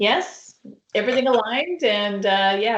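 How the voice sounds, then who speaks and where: Her intonation lively, a woman with a Canadian accent and fairly high pitch talks in an unremarkable speaking voice. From Canada, Saskatchewan. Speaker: healthcare consultant. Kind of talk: webcast interview. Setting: online webcast.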